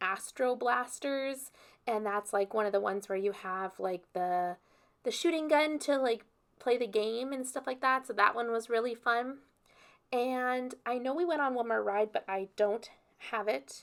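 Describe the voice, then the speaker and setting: A woman's plain, everyday voice, fairly high in pitch with ordinary pitch variation, at a fairly slow pace on a very clean recording with a silent background. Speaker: planner youtuber. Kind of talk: casual vlog tutorial. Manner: casual, many fillers.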